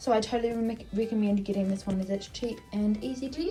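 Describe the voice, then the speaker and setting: A soft-spoken woman with a fairly high pitch and fairly even intonation, music in the background. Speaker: equestrian YouTuber. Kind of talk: tutorial. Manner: casual.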